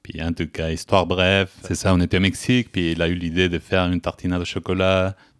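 A man at a fairly quick pace with monotone, flat intonation, dry and close with no echo, on a very clean recording with a silent background. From Mexico. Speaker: chocolate maker, small business owner. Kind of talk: casual chat.

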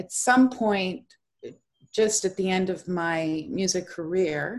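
Here is a woman with an unremarkable speaking voice at a medium pitch. She talks at a fairly slow pace with ordinary pitch variation. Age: 50s. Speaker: education consultant. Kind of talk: interview.

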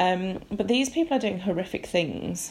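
A woman with a British accent speaks at a medium pitch with ordinary pitch variation. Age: 40. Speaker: podcast host. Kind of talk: solo monologue podcast. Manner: hesitant, many ums.

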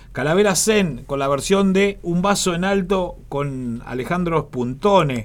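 Intonation is lively throughout. The pace stays very slow. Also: man. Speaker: radio host. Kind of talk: live radio DJ patter between songs. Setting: studio.

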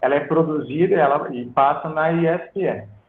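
Very slowly, a man speaks in a fairly high pitch. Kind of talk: podcast interview. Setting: live stream on phone. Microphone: phone audio without headset.

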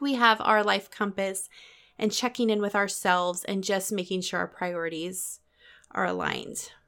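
This woman's voice sits at a medium pitch and has a bright, sharp tone. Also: moderate pace, very clean recording, silent background. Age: 30s. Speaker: podcast host. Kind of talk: casual monologue.

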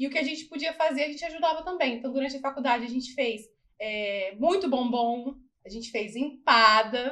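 Her voice raised and projected, a woman talks at a fairly quick pace with a bright, sharp tone, a high pitch and ordinary pitch variation. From Barra Mansa, Rio de Janeiro state, Brazil. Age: 30s. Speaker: dentist. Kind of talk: casual interview.

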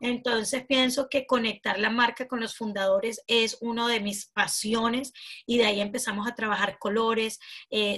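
A woman speaks at a moderate pace in a fairly high voice with fairly even intonation. It is an unremarkable speaking voice. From Venezuela. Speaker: branding specialist and entrepreneur. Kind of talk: interview.

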